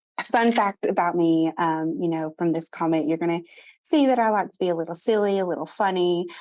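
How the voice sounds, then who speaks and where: A fairly low-pitched woman in a Southern US accent, animated in tone, with ordinary pitch variation and a fairly quick pace. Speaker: marketing speaker. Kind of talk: presentation. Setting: Zoom video call.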